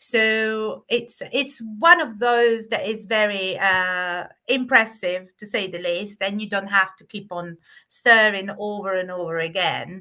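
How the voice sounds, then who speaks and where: A woman's bright, sharp voice at medium pitch with an Italian accent, ordinary pitch variation and a quiet background. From southern Italy. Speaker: private chef. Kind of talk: interview answer.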